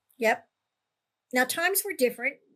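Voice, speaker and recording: A woman speaks in a high pitch with a bright, sharp tone. Her intonation is lively. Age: 80s+. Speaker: paranormal storyteller. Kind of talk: casual chat.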